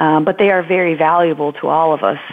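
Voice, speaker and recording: A woman with a Newfoundland accent speaks at a fairly low pitch. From Newfoundland, Marystown. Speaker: environmental policy graduate student, former teacher. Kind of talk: interview.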